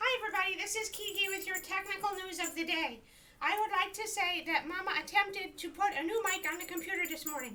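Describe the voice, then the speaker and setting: A woman puts on a playful character voice at an extremely high pitch and a fairly quick pace. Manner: cute, playful.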